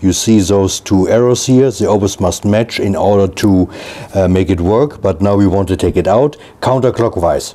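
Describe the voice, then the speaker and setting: Against noticeable background noise, a man talks at a fairly slow pace, his fairly low voice showing ordinary pitch variation. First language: not English. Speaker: product reviewer / home video maker. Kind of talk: tutorial. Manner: casual, halting with fillers.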